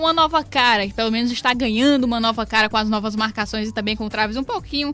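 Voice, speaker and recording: Against music in the background, a woman talks at a high pitch in an upbeat tone with ordinary pitch variation. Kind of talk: radio sports show presenter. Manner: conversational, upbeat.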